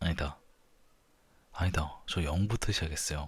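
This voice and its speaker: This man's voice is very deep and low in pitch, and somewhat breathy. His intonation is fairly even. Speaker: ASMR creator. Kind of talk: ASMR talk. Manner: soft-spoken.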